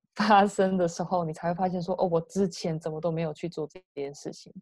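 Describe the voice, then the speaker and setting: In a Taiwanese accent, a woman talks with monotone, flat intonation in a fairly low pitch. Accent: Taiwanese Mandarin. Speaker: remote worker in digital marketing. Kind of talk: interview.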